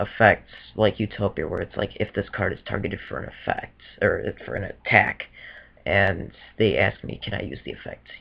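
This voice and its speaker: Loudness swings widely as a man talks at a moderate pace. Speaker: card game judge. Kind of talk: casual talk to camera. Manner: hesitant, many fillers.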